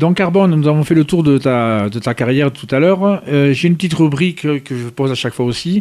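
A man in a normal speaking voice, fairly high in pitch with ordinary variation, fairly quick with hardly any pauses, on a very clean recording with a silent background. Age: 50s. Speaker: radio host. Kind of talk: radio interview.

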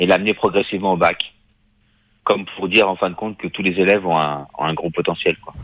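A man with a fairly low voice talks fairly quickly, his pitch varying in an ordinary way. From Paris, France. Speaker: film director. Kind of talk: interview. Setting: remote line from Paris.

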